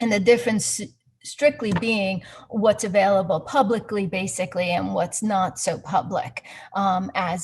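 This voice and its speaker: A woman speaks at a moderate pace, her medium pitch showing ordinary variation. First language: not English. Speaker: investment performance analyst. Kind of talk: webinar presentation. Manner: halting, searching for words.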